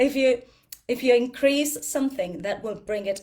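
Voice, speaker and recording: A woman speaks with an Argentinian accent. Her pitch varies in an ordinary way. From Argentina. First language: Spanish. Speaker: yoga and ayurveda teacher. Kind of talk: talk to a group. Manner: halting, with fillers; animated, talks with hands.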